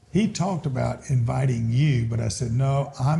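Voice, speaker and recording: The speaker is a man with an Alabama accent. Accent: Southern US (Alabama). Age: 70s. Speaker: business owner. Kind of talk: casual chat.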